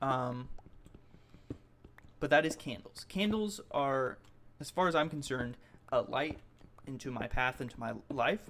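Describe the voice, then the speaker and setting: A man talks at a fairly slow pace with long, frequent pauses. His pitch is fairly high, with ordinary pitch variation. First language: not English. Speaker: video blogger. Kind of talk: personal audio log. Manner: halting, with false starts.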